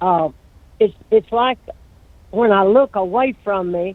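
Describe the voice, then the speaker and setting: A man with a high voice speaks at a fairly slow pace, his pitch rising and falling in an ordinary way. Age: 80s+. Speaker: caller. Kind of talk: phone call to a live show.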